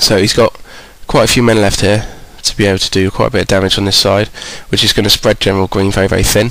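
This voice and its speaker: Noticeable background noise accompanies a man who is talking at a very fast pace. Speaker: game commentator. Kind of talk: game commentary.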